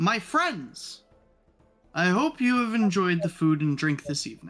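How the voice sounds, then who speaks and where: Over faint background music, a put-on character voice speaks at a middle pitch. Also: moderate pace. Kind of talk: formal speech to a hall. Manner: warm, gracious, smiling.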